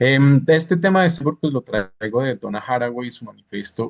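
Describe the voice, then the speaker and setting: A man with a Bogotá accent at medium pitch, lively intonation and a moderate pace, in a dry, close sound with no echo. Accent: Bogotá Colombian. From Bogotá, Colombia. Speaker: interviewer and postdoctoral researcher. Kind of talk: interview conversation in a live conference.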